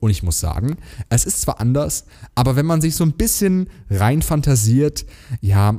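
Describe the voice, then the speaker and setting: Using a Hessian accent, a man with a dark, mellow tone and medium pitch speaks at a moderate pace. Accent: Hessian sch pronunciation. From Germany, Hesse. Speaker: podcast co-host. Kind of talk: casual chat.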